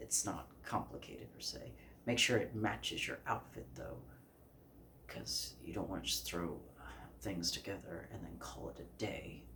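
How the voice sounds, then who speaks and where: A soft-spoken man with a very deep, low pitch talks at a fairly slow pace, with very wide pitch swings and big swings in loudness, in a room with audible echo. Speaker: fashion vlogger. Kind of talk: casual vlog talk. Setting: filming to camera at home.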